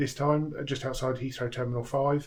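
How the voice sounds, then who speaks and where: A man with a medium pitch delivers his words in a flat, monotone way. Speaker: travel vlogger. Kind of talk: vlog talk to camera. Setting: busy airport terminal; outdoors walking. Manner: quiet.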